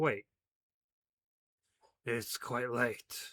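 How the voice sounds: A man puts on a gruff, raspy character voice at a medium pitch, recorded with a dry, close sound and no echo.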